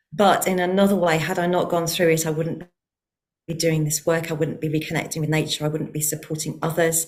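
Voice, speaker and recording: A woman with a British accent talks at a fairly quick pace. Her pitch is very deep and low, and her intonation is monotone and flat. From UK. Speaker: heart-centred nature connection researcher. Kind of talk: online forum conversation.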